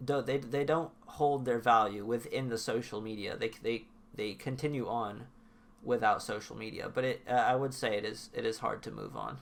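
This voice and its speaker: There is vocal fry in this man's medium-pitched voice. He speaks at a moderate pace with fairly even intonation. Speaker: indie rap artist. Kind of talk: podcast interview answer. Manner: hesitant, repetitive.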